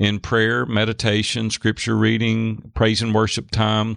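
Speaking with a Nashville accent at a medium pitch, a man talks at a moderate pace against a quiet background, the sound dry and close with no echo. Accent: Southern US (Nashville). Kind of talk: casual chat.

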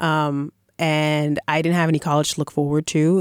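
A woman speaks with a very deep, low pitch and monotone, flat intonation. The sound is dry and close with no echo, on a very clean recording with a silent background. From Boston. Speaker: playwright and composer. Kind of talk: interview. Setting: studio.

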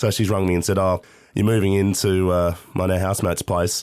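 A man with an Australian accent speaks fairly quickly in a very deep, low pitch with monotone, flat intonation. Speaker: radio host and aspiring stand-up comic. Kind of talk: casual chat. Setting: remote call.

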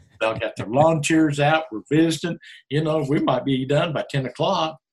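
Talking at a fairly quick pace, a man uses a normal speaking voice that is fairly high in pitch with ordinary pitch variation. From Oklahoma Panhandle. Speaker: team roper and county commissioner candidate. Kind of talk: casual interview.

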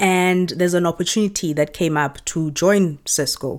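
In a South African accent, a woman speaks at a moderate pace with a fairly low pitch and ordinary pitch variation. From South Africa, Johannesburg. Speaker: content creator. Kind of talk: casual interview chat.

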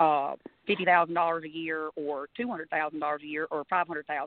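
In an Alabama accent, a woman with a very deep, low pitch speaks at a very fast pace with fairly even intonation. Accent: Alabama twang. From US South. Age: 30s. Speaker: country singer. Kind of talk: casual chat.

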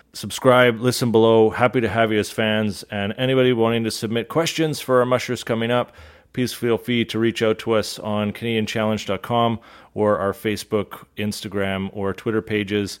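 At a moderate pace, a man talks in a normal speaking voice, medium in pitch, with fairly even intonation. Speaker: podcast host. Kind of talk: interview. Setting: on location at a kennel.

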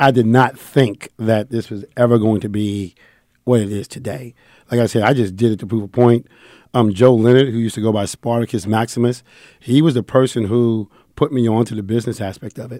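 A dark, mellow tone with a New York accent on a very clean recording against a silent background. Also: man. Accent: New York (Bronx). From New York, the Bronx. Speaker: sports fan club founder. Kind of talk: casual chat. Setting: studio.

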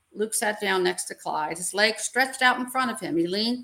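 Text read aloud plainly

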